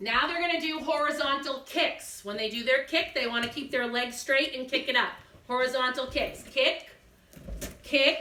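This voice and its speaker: In a slight Massachusetts accent, a woman speaks at a moderate pace with a high pitch and a raised, projected voice. Audible room echo surrounds her. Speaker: gymnastics teacher. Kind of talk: instructional demonstration for kids. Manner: clear step-by-step coaching cues.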